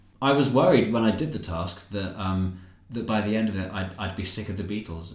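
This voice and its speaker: This man's voice is fairly low and somewhat breathy. He talks at a fairly quick pace with ordinary pitch variation. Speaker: comedian and YouTuber. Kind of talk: casual interview chat. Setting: at his new home.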